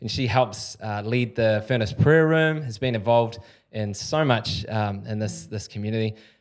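Speaking at a moderate pace in a New Zealand accent, a man with a medium pitch uses ordinary pitch variation. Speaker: podcast host. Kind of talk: casual interview conversation. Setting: studio.

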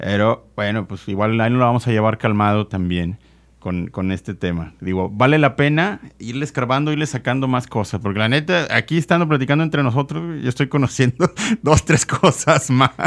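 An unremarkable speaking voice moves at a fairly quick pace with lively intonation, the recording very clean with a silent background and a dry, close sound with no echo. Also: man, medium pitch for a man. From Mexico, Nuevo León. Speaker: podcast host. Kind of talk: casual chat.

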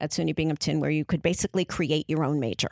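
A woman with a New York accent, very deep, low pitch and vocal fry, in a dry, close sound with no echo on a very clean recording with a silent background. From New York, Brooklyn (Canarsie). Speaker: casting director. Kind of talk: interview.

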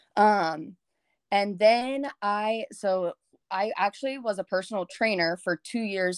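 A woman is speaking. She has a Texan accent. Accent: Texan American. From Texas, rural area north of Houston. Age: 20s. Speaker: fitness coach. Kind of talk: casual interview.

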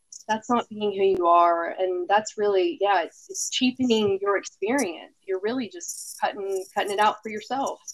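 With an American accent, a normal speaking voice moves at a moderate pace with lively intonation and hardly any pauses. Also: woman, medium pitch for a woman. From Texas. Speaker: podcast co-host. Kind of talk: casual chat.

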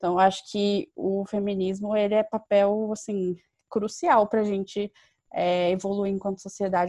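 Over a quiet background, a woman speaks at a moderate pace with monotone, flat intonation and a dark, mellow tone. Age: 20s. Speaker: university student and youth organization leader. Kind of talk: interview.

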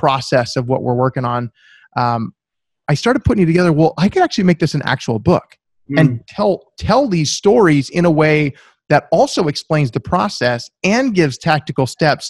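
Fairly high-pitched man with an American accent, a normal speaking voice, ordinary pitch variation and a moderate pace. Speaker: author and accountant. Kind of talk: interview.

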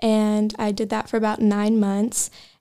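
A woman's fairly high-pitched voice with an American accent and a dark, mellow tone, at a fairly slow pace on a very clean recording with a silent background. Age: 20s. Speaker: church member sharing testimony. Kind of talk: testimony.

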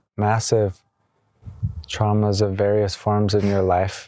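Soft-spoken and at a very slow pace, a man talks with a fairly low pitch and a dark, mellow tone on a very clean recording with a silent background. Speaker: energy healer podcast host. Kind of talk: casual reflective conversation on healing.

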